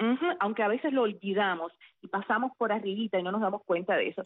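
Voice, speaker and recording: Here a woman talks in an ordinary speaking voice. Her pitch is medium and her pace fairly quick. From central Cuba, Sagua la Grande. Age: 40s. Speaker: former radio announcer, now teacher. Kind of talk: interview.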